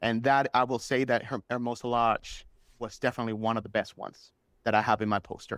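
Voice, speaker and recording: The recording is very clean with a silent background and a dry, close sound with no echo, as a man with a Spanish accent speaks at medium pitch. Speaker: superfan guest. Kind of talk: podcast interview. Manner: casual, filler-heavy.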